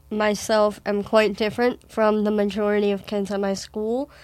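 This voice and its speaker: Very clean recording with a silent background, a woman at a fairly high pitch, fairly slow and monotone with flat intonation. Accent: Wisconsin. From Wisconsin, US Midwest. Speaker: adopted daughter guest. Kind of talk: casual interview conversation.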